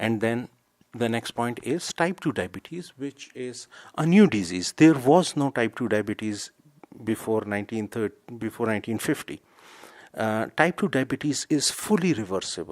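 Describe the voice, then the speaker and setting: Medium-pitched and lively in intonation, a man speaks at a moderate pace. The sound is dry and close with no echo, on a very clean recording with a silent background. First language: not English. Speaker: health video creator. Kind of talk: informal educational talk. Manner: hesitant, with fillers and self-corrections.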